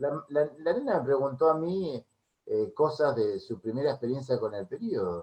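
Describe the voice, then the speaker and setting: A man with an Argentine accent speaks at a moderate pace in a fairly high pitch, his dark, mellow tone moving through very wide pitch swings. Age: 60s. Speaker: music therapist. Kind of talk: interview.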